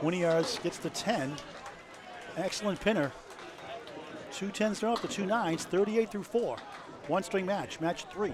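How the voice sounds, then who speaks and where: A man with a New England accent and a high pitch speaks at a moderate pace with long, frequent pauses over noticeable background noise. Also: ordinary pitch variation. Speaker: bowling commentator. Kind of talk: live commentary. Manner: animated.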